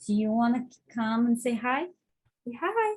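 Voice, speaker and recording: A woman with a fairly high pitch speaks at a fairly slow pace, her voice somewhat breathy. Her pitch swings very widely. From Russia, Bashkortostan, Tatar town. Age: 30s. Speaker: nurse, home cook. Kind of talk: online cooking presentation.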